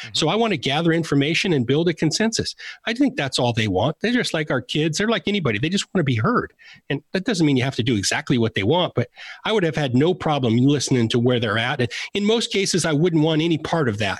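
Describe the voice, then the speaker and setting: Talking at a very fast pace, a man uses a fairly high, somewhat breathy voice with very wide pitch swings. His loudness stays very even, and the recording is very clean with a silent background. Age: 50s. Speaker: former football executive. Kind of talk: interview.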